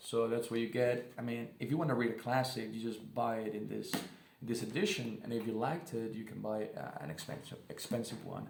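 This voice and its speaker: Noticeable background noise and audible room echo fill the recording. The pitch varies in an ordinary way. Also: man, medium pitch for a man. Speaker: booktuber. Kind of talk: casual book review vlog. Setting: living room at home. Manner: halting, many fillers and restarts.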